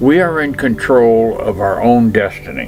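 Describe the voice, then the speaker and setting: Over music in the background, a man speaks at a very slow pace with very wide pitch swings. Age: old. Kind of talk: advice talk to camera.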